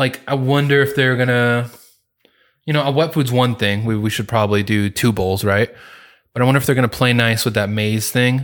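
This is an ordinary speaking voice, a man at medium pitch talking at a fairly quick pace with fairly even intonation, captured in a very clean recording with a silent background. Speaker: podcast co-host. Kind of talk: casual chat.

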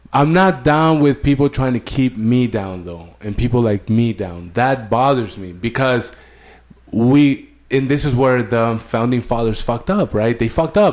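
An American accent from a man in an ordinary speaking voice, with lively intonation and a moderate pace. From Mexico, border region near California. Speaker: army veteran. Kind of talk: casual chat.

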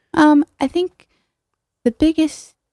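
The voice has an American accent and a dry, close sound with no echo. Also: woman. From US Northeast (New Haven, Connecticut). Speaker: artist, gallery member. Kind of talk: radio interview.

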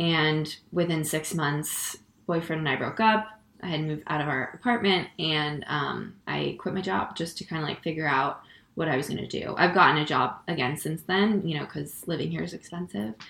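A woman with an American accent and a very deep, low pitch, at a moderate pace amid noticeable background noise. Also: ordinary pitch variation. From Connecticut. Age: 20s. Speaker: stand-up comedian. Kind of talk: casual interview. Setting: her apartment.

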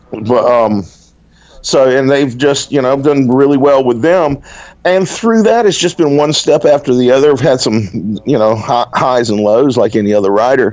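Delivered at a moderate pace in a Southern US accent, the speech has lively intonation and very even loudness. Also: man, medium pitch for a man. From Alabama, US South. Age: 40s. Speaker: fantasy author. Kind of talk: casual interview chat.

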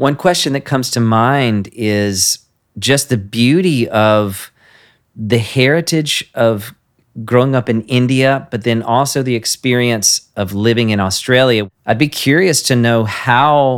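A plain, everyday voice speaks at a fairly slow pace. The recording is very clean, with a silent background. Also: man, medium pitch for a man, ordinary pitch variation. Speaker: podcast host. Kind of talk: interview, casual warm chat.

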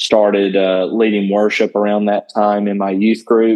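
A man's fairly low voice in a Southern US accent, monotone and flat, at a fairly slow pace. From Northwest Georgia. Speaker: country worship artist and worship leader. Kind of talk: casual interview.

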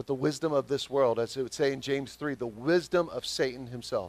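Speaking with a Southern US accent, a man keeps a moderate pace and a medium pitch with ordinary pitch variation. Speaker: pastor. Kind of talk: sermon.

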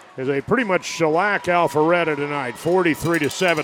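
A man talks in a high voice. Background noise is noticeable. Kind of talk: live sports commentary.

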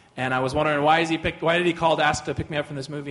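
Noticeable background noise sits behind a man's voice. He has a fairly high pitch and fairly even intonation. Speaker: co-teacher at a church. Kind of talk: sermon.

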